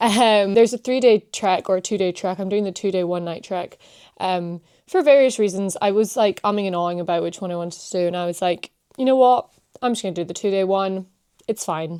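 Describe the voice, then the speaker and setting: A woman with a Scottish accent, at a medium pitch and a fairly quick pace, with a dark, mellow tone and ordinary pitch variation. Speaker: vlogger. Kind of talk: casual chat. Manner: animated.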